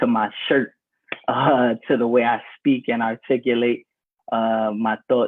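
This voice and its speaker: At a fairly slow pace, a person talks with an American accent. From New York, the Bronx. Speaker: former student. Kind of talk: panel discussion.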